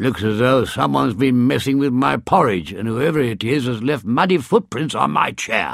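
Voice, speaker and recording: Using a growling put-on character voice, a man speaks at a moderate pace and medium pitch with hardly any pauses. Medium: read story.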